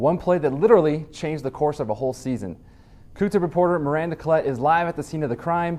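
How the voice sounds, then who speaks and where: A very fast, upbeat, energetic man's voice with fairly high pitch. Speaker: sports news anchor. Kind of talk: student TV sports news read.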